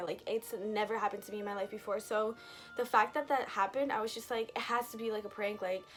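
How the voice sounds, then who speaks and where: Over music in the background, a woman talks at a very fast pace and a fairly high pitch. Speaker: storytime vlogger. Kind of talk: storytime vlog. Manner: rambling, casual.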